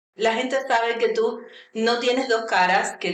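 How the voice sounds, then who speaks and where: A woman's fairly high voice at a fairly slow pace, with audible room echo. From Cuba. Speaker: university vice-rector. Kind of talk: radio interview.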